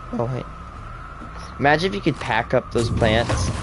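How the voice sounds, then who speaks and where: Medium-pitched male speech with lively intonation, music in the background. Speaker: gaming streamer. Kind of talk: casual chat. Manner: animated.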